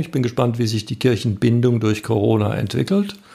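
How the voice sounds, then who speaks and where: The man's voice is somewhat breathy. It sits at a medium pitch. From northern Baden, southern Germany. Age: 50s. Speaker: pastor, candidate for church office. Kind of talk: interview. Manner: hesitant, many fillers.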